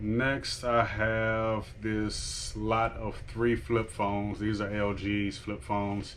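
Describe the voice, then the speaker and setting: A man's fairly low, flat, monotone voice with audible room echo. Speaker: online reseller vlogger. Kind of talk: casual vlog. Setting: at home. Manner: quiet, talking low.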